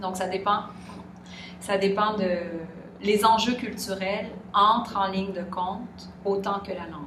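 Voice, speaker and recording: In a room with audible echo and noticeable background noise, a woman with a Quebec accent talks very slowly at a medium pitch, her intonation monotone and flat. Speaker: interviewee. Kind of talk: interview. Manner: hesitant.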